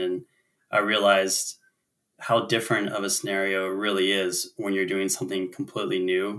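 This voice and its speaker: A fairly low-pitched man with an American accent and a bright, sharp tone. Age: 30s. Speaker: climber and business owner. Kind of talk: interview storytelling.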